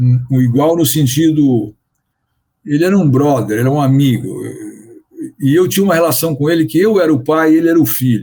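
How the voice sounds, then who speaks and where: With a dark, mellow tone and a fairly high pitch, a man talks at a fairly quick pace, keeping his loudness very even while leaving long, frequent pauses. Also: ordinary pitch variation. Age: 60s. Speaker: business consultant. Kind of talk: interview. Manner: halting.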